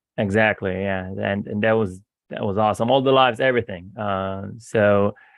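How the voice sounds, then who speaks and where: In an Israeli accent, a man talks at a moderate pace with a fairly low pitch and fairly even intonation. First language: Hebrew. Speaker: real estate investor. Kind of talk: casual chat. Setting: video call. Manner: halting, many repeated words.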